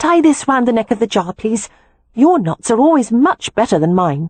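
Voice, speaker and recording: In a put-on character voice, a woman uses a cheerful, confident tone at a fairly high pitch, with very wide pitch swings and a moderate pace. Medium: read story.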